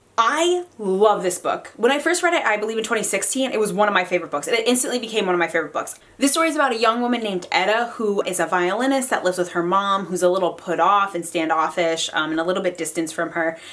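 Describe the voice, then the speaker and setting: Amid noticeable background noise, a woman talks very fast with hardly any pauses, her tone animated and her intonation lively. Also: medium pitch for a woman. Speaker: book reviewer. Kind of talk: casual chat. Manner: fast when excited.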